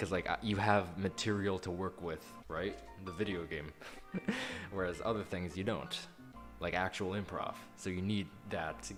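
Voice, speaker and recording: Over music in the background, the speaker keeps a moderate pace with ordinary pitch variation and long, frequent pauses. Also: man. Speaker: video creator who makes Let's Plays.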